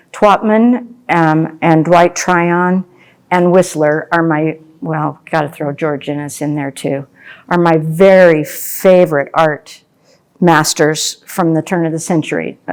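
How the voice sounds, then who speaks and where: In a very clean recording with a silent background, a woman with an American accent speaks very slowly in a fairly low voice with fairly even intonation. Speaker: landscape painter. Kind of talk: painting demonstration. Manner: soft-spoken.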